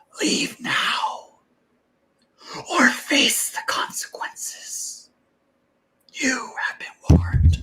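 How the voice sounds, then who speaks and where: A put-on character voice whispers, soft-spoken and raspy. It moves at a very slow pace with long, frequent pauses. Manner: whispering, ominous.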